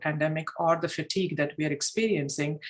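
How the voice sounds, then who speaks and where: In a Telugu accent, a woman speaks at a very fast pace. Her pitch is fairly low. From India. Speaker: club mentor and former district leader. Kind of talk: online meeting discussion.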